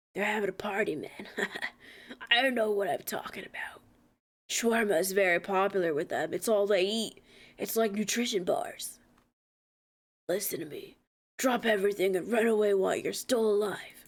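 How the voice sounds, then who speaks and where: Using a raspy put-on character voice at a medium pitch, a woman speaks at a moderate pace with long, frequent pauses. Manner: urgent, panicked warning.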